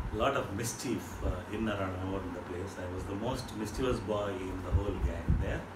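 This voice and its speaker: Loud background noise sits under speech with ordinary pitch variation. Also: man. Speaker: interview guest. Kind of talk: interview answer, storytelling. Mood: warm, nostalgic, amused. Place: home room. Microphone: camera far.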